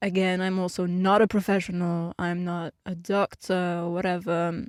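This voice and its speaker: A woman talks at a fairly slow pace with a non-native accent and fairly even intonation. The sound is dry and close with no echo, on a very clean recording with a silent background. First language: not English. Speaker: YouTuber and musician. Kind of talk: podcast monologue. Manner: hesitant, many fillers.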